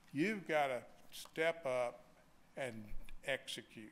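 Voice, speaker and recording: A man speaks in a Southern US accent. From US South. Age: 70s. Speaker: bank executive; speaker. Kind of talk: keynote speech. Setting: stage with audience. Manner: folksy, joking. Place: hall. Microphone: podium.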